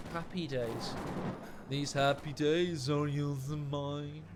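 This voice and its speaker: A put-on character voice, nasal and at a low-to-middle pitch, drawls at a very slow pace over noticeable background noise. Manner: nerdy.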